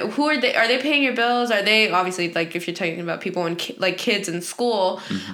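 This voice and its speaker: A woman's voice at a very fast pace with ordinary pitch variation, against noticeable background noise. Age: 20s. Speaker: law school student. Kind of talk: casual chat.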